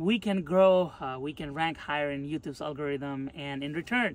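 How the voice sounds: Man at a moderate pace, fairly high-pitched, with ordinary pitch variation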